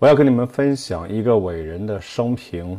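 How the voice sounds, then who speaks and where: A man's fairly low-pitched voice, dark and mellow in tone, with lively intonation. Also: quiet background. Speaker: pastor. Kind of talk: sermon. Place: church. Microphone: headset.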